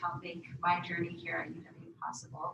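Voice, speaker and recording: Against noticeable background noise and audible room echo, a woman with an American accent speaks at a moderate pace in a fairly low pitch with ordinary pitch variation. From Wisconsin, Menominee Reservation. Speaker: health professions center director, panelist. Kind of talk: panel talk, self-introduction. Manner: hesitant, many fillers.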